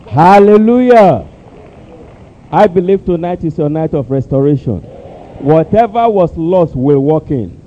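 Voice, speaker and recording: A man with a Nigerian accent speaks at a fairly slow pace in a fairly high pitch, with lively intonation, long and frequent pauses, and noticeable background noise. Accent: Nigerian (Yoruba) English. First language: Yoruba. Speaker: church interpreter. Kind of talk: church service interpretation.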